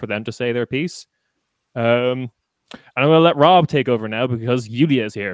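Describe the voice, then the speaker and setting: An Irish accent comes through at a moderate pace with ordinary pitch variation. The sound is dry and close, with no echo. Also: man. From Ireland. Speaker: podcaster. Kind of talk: casual chat.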